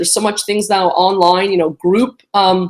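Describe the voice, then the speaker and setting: A woman talks at a moderate pace. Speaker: immigration lawyer. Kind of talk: casual live stream talk. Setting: live video stream. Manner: animated, many fillers.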